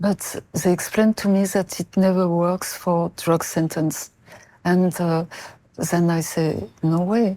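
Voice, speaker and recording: In a very clean recording with a silent background, a woman with a French accent speaks at a fairly low pitch and a fairly slow pace, her dark, mellow tone held at a very even loudness, her intonation monotone and flat, with long, frequent pauses. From France (Marseille). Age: 70s. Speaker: mother of a prisoner, interview guest. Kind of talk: interview. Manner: halting.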